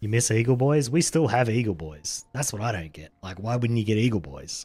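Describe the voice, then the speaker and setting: With an Australian accent, a man speaks in a relaxed, dark, mellow, somewhat breathy tone, with lively intonation and big swings in loudness, in a very clean recording with a silent background. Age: 40s. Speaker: video game streamer. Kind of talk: casual chat. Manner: mumbling at times.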